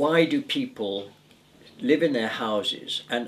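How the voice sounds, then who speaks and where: Against noticeable background noise, a man speaks at a high pitch with very wide pitch swings. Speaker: retired volunteer litter picker. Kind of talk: interview answer.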